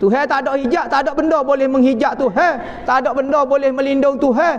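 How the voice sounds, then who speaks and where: A man with a Kelantan accent speaks at an extremely high pitch. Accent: Kelantanese Malay. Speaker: Islamic religious teacher. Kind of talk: religious lecture on a classical text. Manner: casual, colloquial teaching style. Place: classroom.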